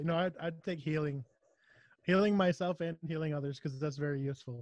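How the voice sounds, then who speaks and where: Here a man has an ordinary speaking voice with a fairly high pitch and fairly even intonation. He talks at a fairly quick pace, and the sound is dry and close with no echo. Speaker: podcast co-host. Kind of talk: casual chat.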